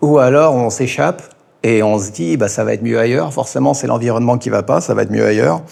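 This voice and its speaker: This man's voice shows vocal fry alongside lively intonation. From France, Ain department. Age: 40s. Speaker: teacher. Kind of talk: interview. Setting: in-person interview in Thailand. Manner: halting, many hesitations.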